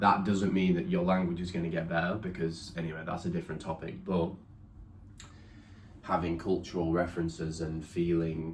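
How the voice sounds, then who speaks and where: Amid audible room echo, a man with a southern English accent talks at a moderate pace in a very deep, low pitch with monotone, flat intonation. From England. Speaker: partner of the vlogger. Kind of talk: casual chat.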